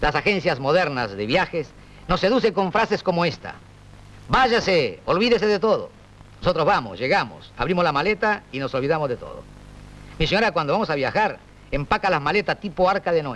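A man speaks at a high pitch. His intonation is lively and his pace fairly quick. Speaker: comedian. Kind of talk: comic stand-up monologue. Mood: dry, wry humor. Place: studio. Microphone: old recording.

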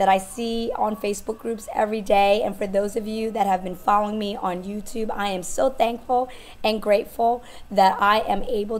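A woman's monotone, flat intonation at medium pitch and a moderate pace. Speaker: direct sales stylist and business coach. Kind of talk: motivational talk to camera.

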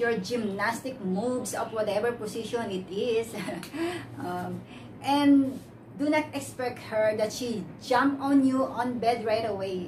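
A very slow pace, ordinary pitch variation and noticeable background noise. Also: woman. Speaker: vlogger. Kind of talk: casual vlog chat. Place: home room. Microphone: camera far.

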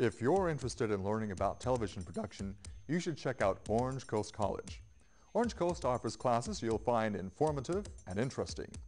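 Music plays behind a man talking at a fairly quick pace. His pitch swings very widely. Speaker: spokesperson. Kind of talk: PSA spokesperson read to camera. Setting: TV studio. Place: studio.

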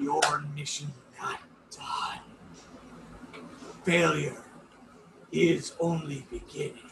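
A man booms in a put-on character voice. He speaks very slowly, with long, frequent pauses. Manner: shrieking, menacing.

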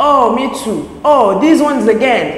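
With noticeable noise in the background, the woman's tone is animated. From Texas. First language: French. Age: 20s. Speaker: content creator. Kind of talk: casual chat.

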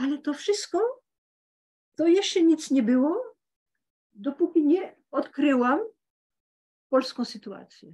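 Her pitch high and her intonation lively, a woman talks very slowly with long, frequent pauses. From France, Paris. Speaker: retired literature professor and author. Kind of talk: academic book discussion. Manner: halting.

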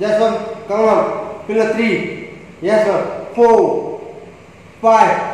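Strong room echo surrounds a voice with monotone, flat intonation. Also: man, high pitch for a man. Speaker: fitness trainer. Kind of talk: workout instruction, live rep counting. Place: gym. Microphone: camera far.

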